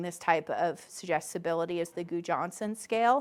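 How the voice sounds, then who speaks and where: This woman has a fairly low pitch and an unremarkable speaking voice. She talks at a moderate pace in a very clean recording with a silent background. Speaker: academic researcher giving a talk. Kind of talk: lecture.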